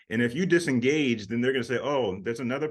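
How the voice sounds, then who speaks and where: Against a quiet background, a man speaks at medium pitch with lively intonation in a plain, everyday voice. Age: 50s. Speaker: talk show host. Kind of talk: interview conversation.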